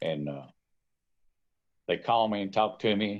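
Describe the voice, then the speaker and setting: In a Tennessee accent, a man speaks with a fairly low pitch. His pace is moderate. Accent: Tennessee Southern. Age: 70s. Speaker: fishing guide. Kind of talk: casual chat. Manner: halting.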